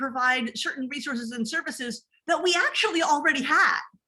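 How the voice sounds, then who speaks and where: A woman projects a raised voice with a bright, sharp tone, high pitch and lively intonation at a moderate pace. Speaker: academic librarian. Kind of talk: conference presentation.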